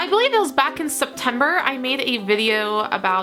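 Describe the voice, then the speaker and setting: A woman with an American accent speaks in a high, raised and projected voice. Her intonation is lively, with music playing in the background. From Northern Virginia. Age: 20s. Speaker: computer science student. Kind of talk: casual talk to camera.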